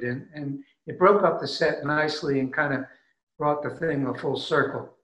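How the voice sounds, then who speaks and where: A man at a fairly high pitch talks at a moderate pace, with audible room echo over a quiet background. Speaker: musician. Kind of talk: casual chat. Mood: warm, reflective. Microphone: webcam.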